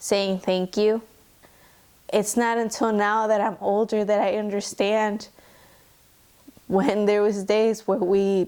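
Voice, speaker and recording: A woman with a Spanish accent speaks at a very slow pace. Her medium pitch stays monotone and flat. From US, raised by Mexican immigrants. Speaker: student. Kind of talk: personal testimony interview.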